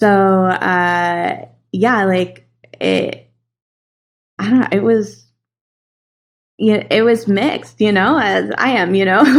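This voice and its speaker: A woman with an American accent at medium pitch, with ordinary pitch variation, a very slow pace and long, frequent pauses. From US West, San Francisco Bay Area. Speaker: animation casting and voice director. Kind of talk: casual chat.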